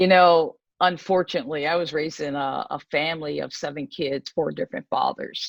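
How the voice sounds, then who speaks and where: A woman talks in a normal speaking voice with an American accent. Her pitch is fairly low, her intonation lively, and her pace fairly quick. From Pennsylvania, US. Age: 60s. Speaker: ministry leader sharing her testimony. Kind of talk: testimony.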